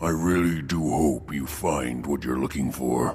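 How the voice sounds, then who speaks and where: A man puts on a character voice with a very deep, low pitch. He keeps a moderate pace over clear background noise. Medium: machinima. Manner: earnest, practical.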